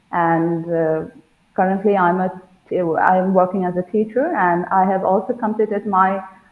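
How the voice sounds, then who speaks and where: A woman speaks fairly slowly with a Bengali accent. Her pitch is medium and varies in an ordinary way. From India, West Bengal. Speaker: school teacher, language learner. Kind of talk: interview. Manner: halting.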